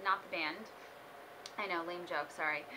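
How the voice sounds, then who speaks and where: Here is a woman with an American accent. She speaks at a fairly quick pace. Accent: faint Brooklyn, can turn it on and off. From Brooklyn, New York. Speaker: aspiring morning show host. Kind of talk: audition video monologue. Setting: self-recorded on video camera. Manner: animated.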